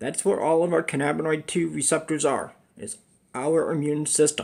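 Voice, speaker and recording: A man's voice is fairly high in pitch. He talks at a moderate pace. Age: 50s. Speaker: cannabis educator, chronic pain patient. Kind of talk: casual video monologue. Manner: halting.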